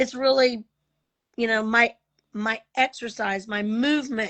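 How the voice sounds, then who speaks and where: This woman has a normal speaking voice with a fairly high pitch. She keeps a moderate pace with fairly even intonation. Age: 50s. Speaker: testimony guest with diabetes. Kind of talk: testimony.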